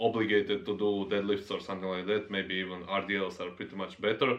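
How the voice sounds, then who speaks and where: A man with a non-native accent and fairly low pitch. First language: not English. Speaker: fitness YouTuber, powerlifter. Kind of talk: casual monologue vlog. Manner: halting, many fillers.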